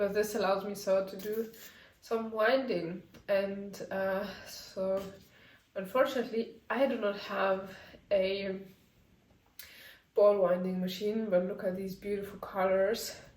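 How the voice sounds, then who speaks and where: Speaking in a flat monotone at medium pitch and a fairly slow pace, a woman leaves long, frequent pauses while the room's echo is audible. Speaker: knitting designer vlogger. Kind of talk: casual vlog. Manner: hesitant, many fillers.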